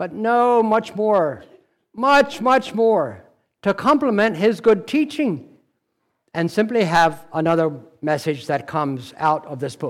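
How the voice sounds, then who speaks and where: The speech moves at a very slow pace with very wide pitch swings. It is a very clean recording with a silent background. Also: man, high pitch for a man. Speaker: preacher. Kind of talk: sermon.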